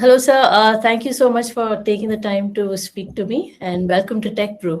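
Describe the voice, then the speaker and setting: A woman with a plain, everyday voice speaks at a fairly high pitch. Her pace is moderate and her pitch varies in an ordinary way. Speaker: podcast host. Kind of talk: interview questions.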